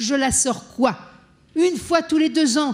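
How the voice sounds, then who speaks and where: A woman is speaking. Her tone is animated. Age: 60s. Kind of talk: conference panel talk.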